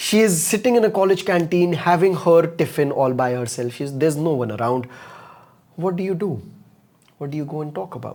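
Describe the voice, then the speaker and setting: Animated and lively in intonation, a man with an Indian accent talks at a fairly quick pace in a fairly high voice. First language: Hindi. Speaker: communication coach. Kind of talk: live online masterclass.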